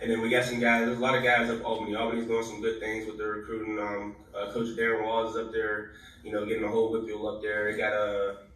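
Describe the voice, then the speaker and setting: A man with an American accent, fairly low in pitch with monotone, flat intonation, amid audible room echo and noticeable background noise. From Pittsburgh, Pennsylvania. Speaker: college football player. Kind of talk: podcast interview. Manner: casual, full of fillers.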